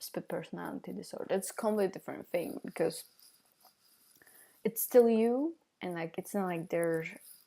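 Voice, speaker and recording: A woman with a non-native accent speaks in a dark, mellow tone at a medium pitch with ordinary pitch variation. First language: not English. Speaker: vlogger. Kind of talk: casual monologue vlog. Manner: halting, many fillers.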